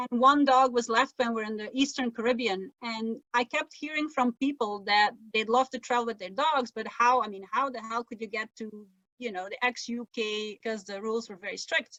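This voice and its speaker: A woman with a Flemish accent speaks at a moderate pace. Her intonation is fairly even, while her loudness swings widely. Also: fairly high pitch for a woman. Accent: Flemish-Belgian accent in English. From Belgium (Flemish, Dutch-speaking). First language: Dutch. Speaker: sailor and travel writer. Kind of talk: interview conversation. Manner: conversational, with false starts and fillers.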